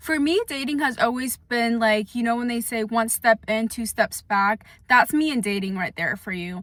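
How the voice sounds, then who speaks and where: A woman speaks in a fairly high pitch at a moderate pace. Her pitch varies in an ordinary way, with hardly any pauses. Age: 20s. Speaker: vlogger. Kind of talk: casual chat. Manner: soft-spoken; loud.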